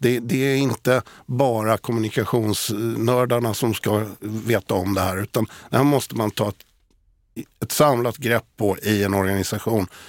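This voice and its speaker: In a dry, close sound with no echo and a very clean, silent background, a man of medium pitch speaks in a normal speaking voice at a fairly slow pace. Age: 60s. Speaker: digital communication specialist. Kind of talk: casual chat. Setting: studio.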